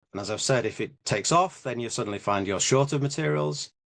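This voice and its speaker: Here is a man with an English accent. He speaks at a medium pitch. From England. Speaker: business co-founder. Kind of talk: interview. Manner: halting.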